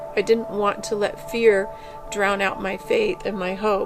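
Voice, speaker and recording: With music in the background, a woman speaks at a fairly slow pace and a medium pitch, her intonation fairly even. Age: 50s. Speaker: cancer patient. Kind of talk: testimony.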